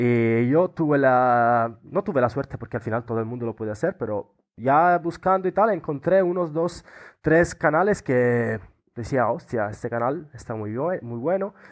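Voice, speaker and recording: With an Italian accent, a man speaks at a medium pitch and a moderate pace, his intonation lively. The background is quiet. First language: Italian (speaking Spanish). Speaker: Erasmus student. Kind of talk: interview. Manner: halting.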